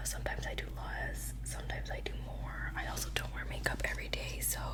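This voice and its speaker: A woman with a very deep, low pitch talks at a very fast pace in a flat monotone, with noticeable background noise behind her. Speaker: ASMR creator. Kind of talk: casual talk to camera, makeup routine ASMR.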